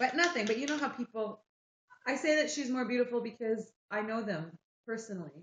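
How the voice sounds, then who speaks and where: A woman's fairly high, somewhat breathy voice, lively in intonation and fairly quick in pace. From Quebec, Montreal. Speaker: livestreamer. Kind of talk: casual chat. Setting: live stream.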